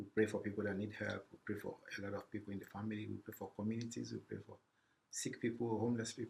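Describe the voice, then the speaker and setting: A man's medium-pitched voice with vocal fry at a very fast pace. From Sierra Leone. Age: 50s. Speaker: refugee services program specialist. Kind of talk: interview. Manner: halting, repeats words.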